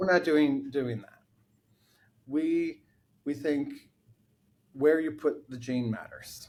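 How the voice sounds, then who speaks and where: Big swings in loudness mark this man's fairly high-pitched voice. He speaks at a very slow pace with long, frequent pauses. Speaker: chief scientific officer, gene therapy scientist. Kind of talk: interview answer.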